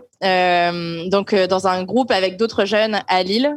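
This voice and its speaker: A woman talks at a medium pitch with fairly even intonation. It is a normal speaking voice. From northern France. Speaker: optician and interfaith volunteer. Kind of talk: casual interview.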